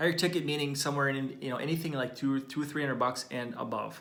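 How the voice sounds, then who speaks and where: A man at medium pitch speaks at a very fast pace. The room echo is audible. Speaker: business coach for chiropractors. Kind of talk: live training video. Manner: animated.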